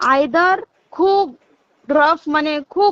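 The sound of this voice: The sound is dry and close with no echo as a woman speaks at a high pitch with ordinary pitch variation.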